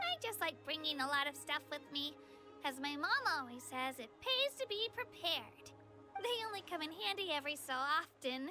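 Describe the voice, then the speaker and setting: Over clear music in the background, a high-pitched put-on character voice speaks at a moderate pace. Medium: virtual streamer. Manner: friendly, upbeat.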